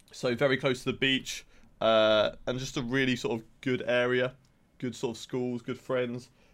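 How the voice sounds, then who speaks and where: The speaker uses monotone, flat intonation with an English accent. The pace is moderate. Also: man, medium pitch for a man. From England. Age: 20s. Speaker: esports content manager. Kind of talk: casual chat. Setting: video call.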